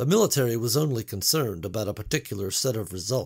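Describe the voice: The speaker reads plainly aloud with lively intonation.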